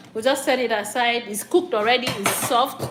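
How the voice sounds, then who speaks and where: With noticeable background noise behind her, a woman talks at a fairly high pitch with fairly even intonation. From Nigeria, Akwa Ibom. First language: local Nigerian language. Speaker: cooking vlogger. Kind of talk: cooking tutorial. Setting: home kitchen. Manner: halting.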